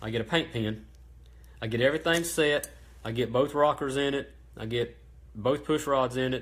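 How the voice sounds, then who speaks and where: With long, frequent pauses, a man in a Southern US accent speaks at medium pitch with fairly even intonation. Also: moderate pace. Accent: Southern US (Georgia). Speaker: small engine parts business owner. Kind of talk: live-stream tutorial. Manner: halting, lots of ums and stutters.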